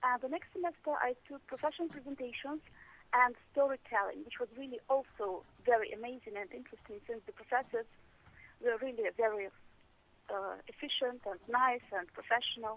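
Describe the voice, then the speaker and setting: A woman with a Russian accent talks fairly quickly at a high pitch with ordinary pitch variation and big swings in loudness. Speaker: English teacher. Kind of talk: interview. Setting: phone call. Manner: halting.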